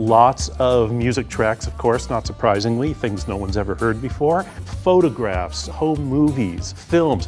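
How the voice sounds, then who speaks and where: The speaker goes at a fairly slow pace while faint music plays in the background. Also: man. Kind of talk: interview answer. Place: hall. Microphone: lapel.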